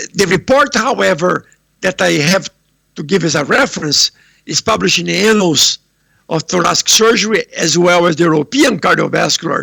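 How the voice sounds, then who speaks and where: A man speaks at a moderate pace, the sound dry and close with no echo. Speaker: heart surgeon. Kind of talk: lecture. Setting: remote video presentation from home. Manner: loud.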